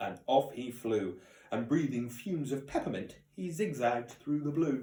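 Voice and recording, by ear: The words are read aloud in a natural voice. Pitch shifts in an ordinary way throughout.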